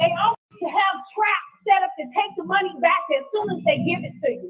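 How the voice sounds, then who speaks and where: A woman with an American accent speaks at an extremely high pitch and a fairly slow pace over music in the background. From California. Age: 60s. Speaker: descendant giving public comment. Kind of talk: public comment. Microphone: very quiet line.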